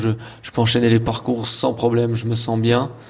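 This man's voice is somewhat breathy, with a medium pitch. He moves at a fairly quick pace. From eastern France, Haute-Saône. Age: 20s. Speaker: show jumping rider. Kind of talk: interview.

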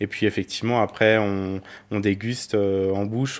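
Monotone and flat in intonation, a man talks at a moderate pace with a fairly low pitch. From Burgundy, France. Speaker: wine merchant. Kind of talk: street interview. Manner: hesitant, many fillers.

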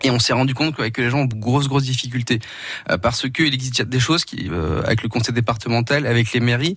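A man at a medium pitch, talking at a very fast pace. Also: ordinary pitch variation. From Portugal. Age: 40s. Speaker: founder of a senior housing platform. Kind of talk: radio interview. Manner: hesitant, many fillers.

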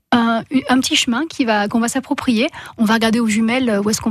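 Fairly high in pitch with ordinary variation, a woman speaks in a plain, everyday voice at a fairly quick pace. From France, Hautes-Alpes. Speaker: rock climber and writer. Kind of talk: radio interview.

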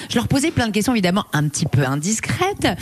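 Over noticeable background noise, a woman talks very fast, her pitch swinging very widely. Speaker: radio reporter on location. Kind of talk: live radio report, casual chat. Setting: listener's home, live on radio. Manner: loud; animated.

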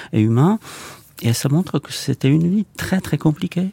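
With a Czech accent, a man speaks in a dark, mellow tone at a fairly high pitch, using very wide pitch swings, in a dry, close sound with no echo. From Czech Republic. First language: Czech (speaking French). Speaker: film director. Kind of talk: interview. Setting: studio. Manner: halting.

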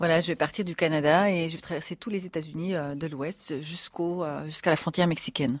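On a very clean recording with a silent background, a woman with a fairly low pitch speaks at a fairly quick pace with fairly even intonation and hardly any pauses. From Swiss Jura, Switzerland. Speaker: explorer and author. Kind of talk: interview conversation. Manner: hesitant, many fillers.

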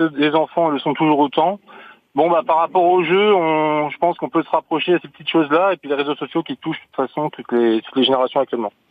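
Here a man talks at a very fast pace with a fairly high pitch. His loudness swings widely while his pitch varies in an ordinary way. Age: 30s. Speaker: soldier. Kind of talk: radio call-in.

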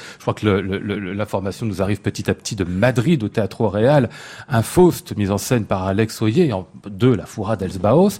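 An unremarkable speaking voice belongs to this man, pitched fairly low. He talks at a fairly slow pace with ordinary pitch variation. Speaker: radio host. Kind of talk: live radio interview. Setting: live in front of an audience in a hotel.

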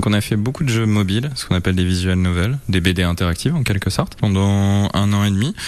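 A man speaks very fast with hardly any pauses, his fairly low pitch moving with ordinary variation over noticeable background noise. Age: 30s. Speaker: video game studio co-founder. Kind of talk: interview.

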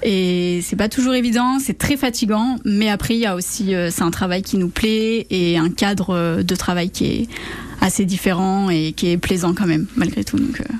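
Medium-pitched woman at a fairly slow pace, ordinary pitch variation, over noticeable background noise. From western France (Charente). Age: 20s. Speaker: master's student and summer camp leader. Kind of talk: radio interview. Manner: hesitant, with many fillers.

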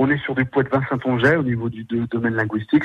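A man speaks at a fairly quick pace in a dry, close sound with no echo. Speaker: performer and author. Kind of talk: radio interview. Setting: phone call. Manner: animated.

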